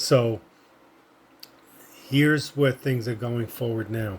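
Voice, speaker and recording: Somewhat breathy, a man talks at a fairly slow pace. His pitch is medium and his intonation fairly even. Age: 60s. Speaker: vlogger sharing personal journey, amputee. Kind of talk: personal vlog monologue. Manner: halting.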